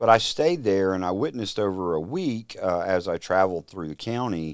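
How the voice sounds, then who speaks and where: In a very clean recording with a silent background, a man with a strong Louisiana accent and a very deep, low pitch talks at a fairly quick pace. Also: ordinary pitch variation. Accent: Louisiana Southern accent, strong. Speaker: telecom company executive. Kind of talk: casual interview. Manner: hesitant, many fillers.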